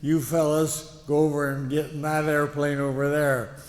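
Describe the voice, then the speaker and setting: Noticeable background noise accompanies a man speaking in an American accent at a fairly slow pace and fairly high pitch. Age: 80s+. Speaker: war veteran. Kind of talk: speech to an audience. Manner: halting, many fillers.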